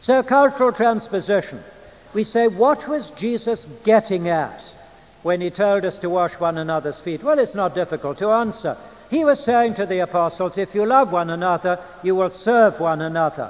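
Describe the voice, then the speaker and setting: A man with an English accent speaks at a moderate pace, his pitch high. His intonation is lively. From England. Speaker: preacher and Bible teacher. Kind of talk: lecture. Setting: church. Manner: formal.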